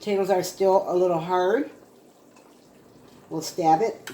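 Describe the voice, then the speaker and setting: Over noticeable background noise, the speech moves at a moderate pace. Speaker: home cooking video host. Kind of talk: cooking tutorial. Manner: casual, chatty.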